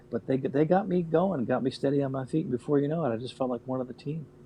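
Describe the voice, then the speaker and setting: A man talks very fast at a medium pitch with ordinary pitch variation. Noticeable background noise sits behind him. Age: 60s. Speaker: radio veteran. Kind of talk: casual chat.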